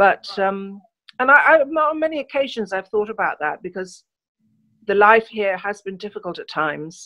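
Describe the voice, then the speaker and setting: With a southern English accent, a woman speaks at medium pitch and a moderate pace. Her pitch swings very widely and her loudness varies greatly. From England, London. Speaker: journalist. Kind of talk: interview. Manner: hesitant fillers.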